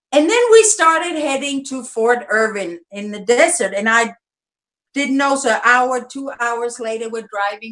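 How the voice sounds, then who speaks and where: This woman has a high pitch and lively intonation. She speaks at a fairly slow pace. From Germany, Nuremberg. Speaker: activist parent. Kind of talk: interview.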